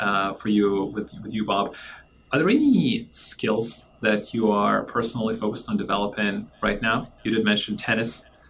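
With a normal speaking voice, a man talks at a medium pitch and a moderate pace. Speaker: podcast host. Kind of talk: interview, conversational.

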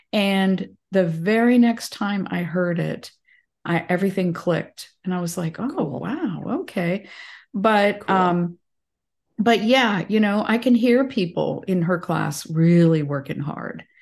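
With an unremarkable speaking voice, a woman talks at a fairly slow pace and a medium pitch, with ordinary pitch variation over a quiet background. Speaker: podcast host and massage therapist. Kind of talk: casual interview chat. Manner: warm, chatty, laughs often.

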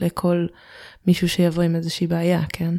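Recorded dry and close with no echo against a very clean, silent background, the voice has a dark, mellow tone and moves at a fairly quick pace. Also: woman. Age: 20s. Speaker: Android developer. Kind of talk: podcast interview.

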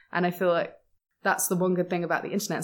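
A woman speaks at a fairly low pitch. The recording is very clean, with a silent background. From England. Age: 20s. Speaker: podcast guest. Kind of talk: casual chat.

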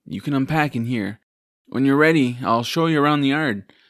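A man speaks at a fairly quick pace in a warm, dramatic tone. The recording is very clean, and the background is silent. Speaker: narrator and voice actor. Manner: warm, storytelling, measured and gently dramatic.

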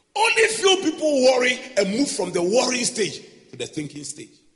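Audible room echo rings around a man whose extremely high voice makes very wide pitch swings. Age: 40s. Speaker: pastor. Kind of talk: sermon.

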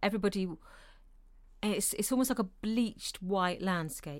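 A woman's ordinary speaking voice, medium in pitch, with ordinary pitch variation and a moderate pace, on a very clean recording with a silent background. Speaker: co-host. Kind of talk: casual chat.

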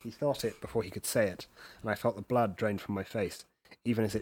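Plain reading aloud in a fairly even intonation against a quiet background.

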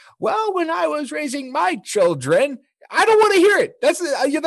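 Putting on a character voice, a man speaks in an extremely high pitch at a fairly slow pace. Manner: scolding, reminiscing.

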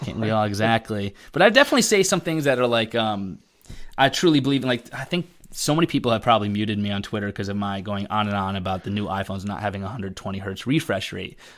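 A man with an American accent, fairly low in pitch, talking at a very fast pace with ordinary pitch variation on a very clean recording against a silent background. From Connecticut. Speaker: tech YouTuber. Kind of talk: casual chat.

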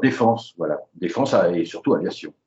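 A man is speaking. His pace is moderate. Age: 70s. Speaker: aviation illustrator. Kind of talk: interview. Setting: phone call. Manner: halting, repeats words. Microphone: phone line, lower audio quality.

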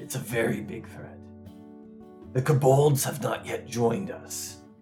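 Putting on a character voice with a serious tone, a man speaks at a moderate pace and medium pitch with lively intonation as clear music plays behind him. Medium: actual play. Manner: gruff, serious.

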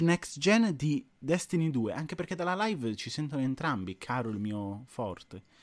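A man speaks at a moderate pace with very wide pitch swings. The recording is very clean, with a silent background and a dry, close sound with no echo. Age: 20s. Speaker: gaming streamer. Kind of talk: casual chat.

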